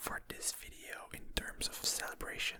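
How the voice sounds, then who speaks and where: A man is speaking. He whispers. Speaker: ASMR gaming creator. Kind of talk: relaxed rambling commentary over gameplay. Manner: whispered; soft-spoken, slow.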